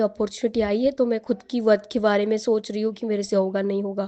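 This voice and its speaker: A woman with a Marathi accent speaks in a dark, mellow tone against a quiet background. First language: Marathi (speaking Hindi). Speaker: aspiring public speaker sharing success story. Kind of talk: testimony. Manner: conversational with hesitations.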